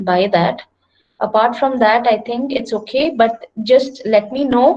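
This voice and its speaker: Speaking at a fairly slow pace, a woman uses a normal speaking voice with ordinary pitch variation. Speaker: engineering lecturer. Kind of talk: online lecture.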